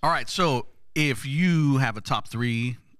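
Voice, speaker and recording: Over a silent background on a very clean recording, a man talks with lively intonation. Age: 40s. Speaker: pastor and podcast co-host. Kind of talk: casual chat.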